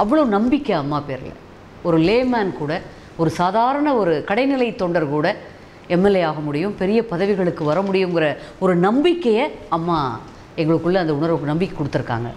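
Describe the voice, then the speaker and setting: Light background noise sits under a woman's voice. Her fairly low pitch swings very widely. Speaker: television news reader and politician. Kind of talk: interview answer. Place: home room.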